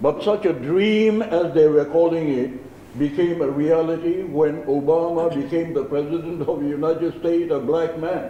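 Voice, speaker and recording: Hardly pausing, a man with a fairly high pitch talks at a moderate pace with fairly even intonation. Audible room echo and noticeable background noise fill the recording. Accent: Naga. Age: 70s. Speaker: community leader. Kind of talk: press conference speech. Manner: formal.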